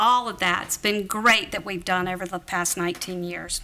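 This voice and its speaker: Bright and sharp in tone, a woman speaks in a Southern US accent. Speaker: town council member. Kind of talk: formal speech at a council meeting. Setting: council chamber at town hall.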